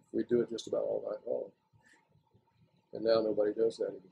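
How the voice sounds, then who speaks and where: A man speaks with a Southern US accent. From Florida. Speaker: retired lumber industry worker. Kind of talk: oral history interview answer.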